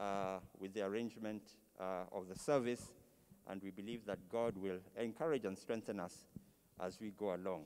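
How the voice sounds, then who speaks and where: This man talks at a moderate pace. His tone is dark and mellow. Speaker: service host. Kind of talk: announcements at memorial service. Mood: calm, solemn. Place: church. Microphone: handheld.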